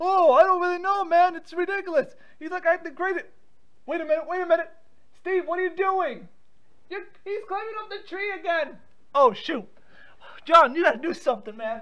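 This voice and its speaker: A man puts on a character voice at an extremely high pitch, with long, frequent pauses. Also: moderate pace. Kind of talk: prank call comic acting. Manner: urgent, exasperated, pleading.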